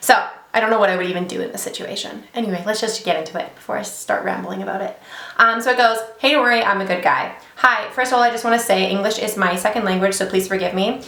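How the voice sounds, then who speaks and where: A woman's very fast pace amid noticeable background noise and audible room echo. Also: medium pitch for a woman, ordinary pitch variation. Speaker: beauty YouTuber reading stories. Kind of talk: casual vlog chat and story reading. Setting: home office, sitting in a desk chair.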